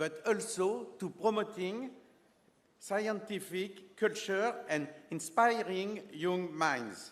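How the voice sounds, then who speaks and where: A man with a French accent speaks at a very slow pace and high pitch, with ordinary pitch variation. Room echo is audible. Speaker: space agency official presenting an award. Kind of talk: ceremony speech. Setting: stage with audience. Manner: formal.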